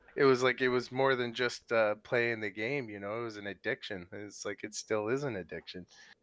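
In a normal speaking voice, the speaker goes at a fairly quick pace with hardly any pauses, fairly even intonation and big swings in loudness. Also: man, medium pitch for a man. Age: 40s. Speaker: StarCraft player. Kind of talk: casual chat. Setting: live stream.

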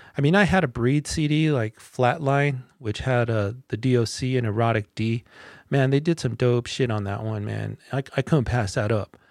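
In a very clean recording with a silent background and a dry, close sound with no echo, a man of medium pitch talks at a moderate pace with ordinary pitch variation. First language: not English. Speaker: podcast host reviewing rap albums. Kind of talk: casual album review monologue.

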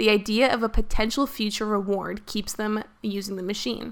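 A woman talks at a fairly quick pace in a medium pitch. Her voice carries vocal fry. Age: 20s. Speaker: podcast host. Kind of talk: casual chat.

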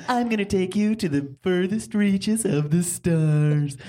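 Moderate pace and middle pitch in a put-on character voice. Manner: dramatic, grandiose.

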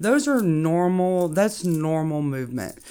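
Very deep and low in pitch, a woman with an American accent speaks at a moderate pace with lively intonation, on a very clean recording with a silent background. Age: 40s. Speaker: foundation repair engineer. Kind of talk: podcast interview.

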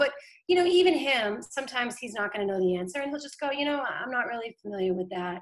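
A woman speaks with an American accent and lively intonation. Her pitch is high. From Boston. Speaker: political communications director. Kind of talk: casual interview chat. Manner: fast, filler-heavy.

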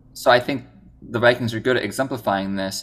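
In a very clean recording with a silent background, a man speaks in an Upper Midwest accent at a medium pitch with ordinary pitch variation. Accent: Upper Midwest American. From northern Minnesota. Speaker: podcast co-host, filmmaker. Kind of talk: casual chat.

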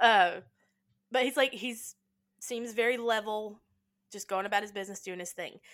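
On a very clean recording with a silent background, a woman with a fairly high pitch speaks in an animated tone at a moderate pace, with long, frequent pauses. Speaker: podcast co-host. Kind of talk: casual chat, movie discussion. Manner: animated, talkative, rambling.

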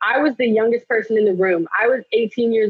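A woman speaks in a plain, everyday voice. Her pitch is fairly high, with ordinary variation. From Los Angeles, California. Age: 20s. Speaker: actress. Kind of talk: podcast interview.

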